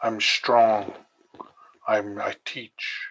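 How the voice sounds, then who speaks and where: A man talking at a very slow pace. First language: Siksika (Blackfoot). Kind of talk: panel discussion personal introduction. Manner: halting, with repetitions.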